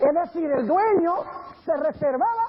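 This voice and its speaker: Against noticeable background noise, a man speaks at a moderate pace with very wide pitch swings. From grew up in Colombia and Venezuela. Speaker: pastor. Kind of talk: sermon.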